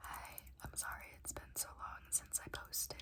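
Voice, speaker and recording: Whispering at a fairly slow pace, the speaker is accompanied by noticeable background noise. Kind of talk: ASMR book review talk to camera. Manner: whispered; casual, rambling.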